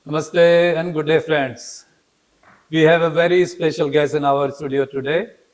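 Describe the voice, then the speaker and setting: Using a normal speaking voice, a man with a fairly high pitch talks at a moderate pace with fairly even intonation. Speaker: news editor and interviewer. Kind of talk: interview questions.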